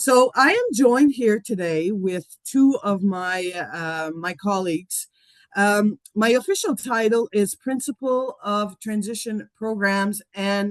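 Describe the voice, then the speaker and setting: A woman with a French accent talks at a fairly slow pace, her pitch medium with ordinary variation. The sound is dry and close, with no echo. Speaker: school principal. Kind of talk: presentation. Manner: halting.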